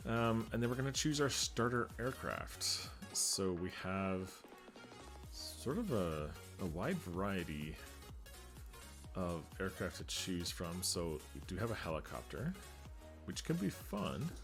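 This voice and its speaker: A man with a very deep, low pitch speaks in a calm tone at a fairly slow pace, with long, frequent pauses. His pitch swings very widely, with music in the background. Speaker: gaming video creator. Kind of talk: gameplay commentary.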